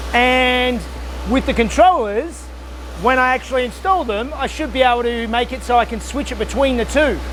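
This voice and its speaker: Speaking at a moderate pace, a man is heard in a room with audible echo. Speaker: car restoration youtuber. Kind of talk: workshop build vlog. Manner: loud.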